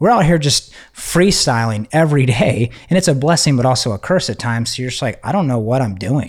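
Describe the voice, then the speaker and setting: Fairly quick, nearly pause-free speech in an ordinary speaking voice with an American accent and lively intonation, on a very clean recording with a silent background. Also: man, medium pitch for a man. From Texas. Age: 30s. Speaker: photographer and filmmaker. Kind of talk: casual chat.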